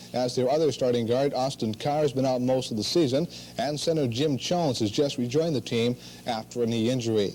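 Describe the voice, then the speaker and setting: A man with a plain, everyday voice, medium pitch, fairly even intonation, very even loudness and a fairly quick pace. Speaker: sports news anchor. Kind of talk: radio sports news broadcast.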